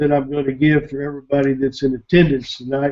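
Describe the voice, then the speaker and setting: Against a quiet background, a man talks in a fairly high pitch. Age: 60s. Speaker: internet marketer, webinar presenter; webinar presenter. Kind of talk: webinar presentation. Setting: online webinar. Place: home room. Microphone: webcam.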